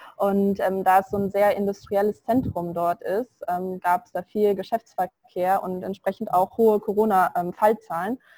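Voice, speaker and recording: In a dry, close sound with no echo, a woman with a dark, mellow tone and medium pitch talks at a moderate pace in a monotone, flat intonation, with hardly any pauses and big swings in loudness. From Germany. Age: 20s. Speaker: virtual assistant, self-employed. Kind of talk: interview. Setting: online call from India.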